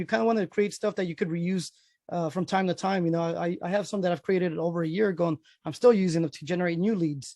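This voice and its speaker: Against a quiet background, a man with a dark, mellow tone and a high pitch talks at a very fast pace. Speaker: realtor teaching a software class. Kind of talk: online class tutorial. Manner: halting, many fillers and repeats.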